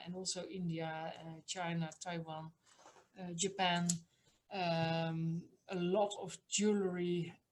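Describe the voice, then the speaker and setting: In a Dutch accent, a woman speaks very slowly at a fairly low pitch with monotone, flat intonation. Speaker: museum director. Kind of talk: online talk. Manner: hesitant, many fillers.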